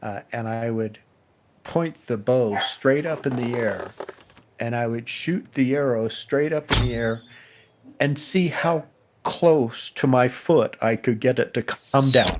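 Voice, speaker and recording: Noticeable background noise sits under a man with an American accent. He speaks at a very slow pace, medium in pitch, with ordinary pitch variation. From Colorado Springs, Colorado, USA. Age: 70s. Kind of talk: memoir interview answer. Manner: reflective, conversational.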